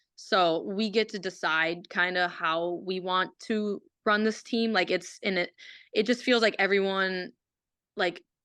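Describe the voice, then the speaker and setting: Against a quiet background, a woman with a slight Minnesotan accent speaks at a medium pitch. Her tone is bright and sharp, her intonation fairly even, and her pace fairly slow. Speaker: college hockey player. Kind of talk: casual chat. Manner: halting.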